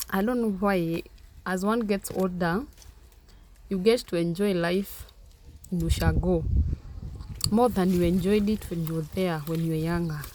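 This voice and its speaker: A Kenyan accent broken by long, frequent pauses. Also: woman, medium pitch for a woman, ordinary pitch variation, moderate pace. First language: Kenyan mother tongue. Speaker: vlogger. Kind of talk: vlog narration. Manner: casual.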